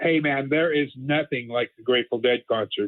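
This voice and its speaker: A man with a fairly high voice speaks at a moderate pace with fairly even intonation. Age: 60s. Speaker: caller. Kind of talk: casual call-in chat. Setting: phone call. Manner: halting, repetitive.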